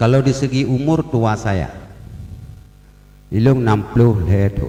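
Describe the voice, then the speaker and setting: Over noticeable background noise, a man speaks at a fairly slow pace and a medium pitch, with ordinary pitch variation. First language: Acehnese (speaking Indonesian). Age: 60s. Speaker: religious leader speaking at ceremony. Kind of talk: ceremonial speech. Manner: humorous, conversational.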